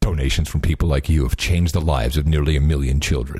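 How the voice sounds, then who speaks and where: A man puts on a robotic character voice with a very deep, low pitch. He talks at a very fast pace. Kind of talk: charity voiceover.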